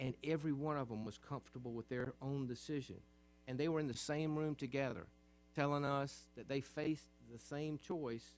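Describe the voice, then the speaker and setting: With music playing in the background, the speaker keeps a fairly even intonation at a moderate pace. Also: man, fairly high pitch for a man. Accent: Southern US. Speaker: state senator. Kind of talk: legislative floor speech.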